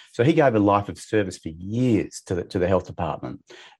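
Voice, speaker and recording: This man has an Australian accent and a fairly low pitch. He talks at a very fast pace. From Perth, Western Australia. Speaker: financial coach and author. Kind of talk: interview. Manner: halting, with many repetitions.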